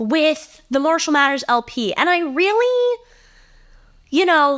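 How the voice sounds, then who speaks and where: A loud woman with an American accent at a very slow pace. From Ohio, US Midwest. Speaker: podcast host. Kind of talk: casual monologue. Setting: home, sitting on bed.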